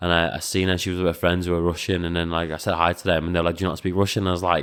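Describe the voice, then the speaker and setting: Someone with a Liverpool accent talks at a very fast pace in a monotone, flat intonation. The recording is very clean, with a silent background. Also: man, very deep, low pitch for a man. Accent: English, sounds Scouse. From Latvia, raised mostly in England. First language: Latvian. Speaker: professional kickboxer and coach. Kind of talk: podcast interview. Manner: hesitant, many fillers.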